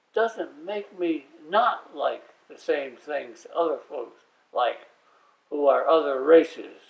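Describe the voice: A man speaks at a slow pace with vocal fry and lively intonation.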